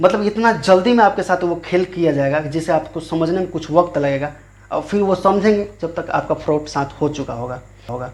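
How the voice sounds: A man talks at a fairly quick pace with few pauses and lively intonation. His fairly high pitch carries a slightly mellow tone.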